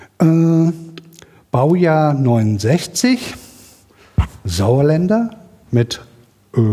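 A man talks with ordinary pitch variation, and noticeable background noise sits behind him. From Sauerland, Germany. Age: 40s. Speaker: science podcast curator on Twitter. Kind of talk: self-introduction at workshop. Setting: workshop room with live audience.

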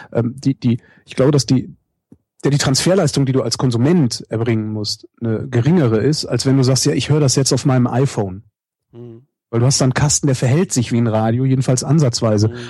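A somewhat breathy quality marks this man's voice. Its tone is dark and mellow. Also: medium pitch for a man, ordinary pitch variation, fairly quick pace. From Germany, Cologne. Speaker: radio host and podcaster. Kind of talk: interview.

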